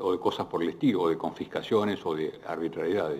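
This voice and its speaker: A man talks at a moderate pace. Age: 60s. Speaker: economist. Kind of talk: panel Q&A. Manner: halting.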